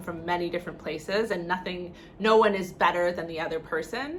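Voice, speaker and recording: A woman speaks at a fairly quick pace with a Canadian accent, her pitch fairly low. Noticeable background noise and audible room echo fill the recording. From Canada. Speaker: vlogger. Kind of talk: casual vlog talk.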